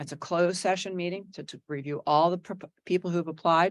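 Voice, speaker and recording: Fairly quick, fairly even delivery with an American accent. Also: woman. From New Jersey. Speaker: executive search consultant. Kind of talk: presentation to school board. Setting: board meeting. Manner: fast.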